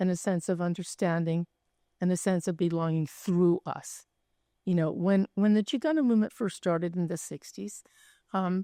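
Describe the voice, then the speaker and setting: A woman's dark, mellow voice at medium pitch, fairly even in intonation, dry and close with no echo, on a very clean recording with a silent background. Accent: American. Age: 80s+. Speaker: artist. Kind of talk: panel discussion.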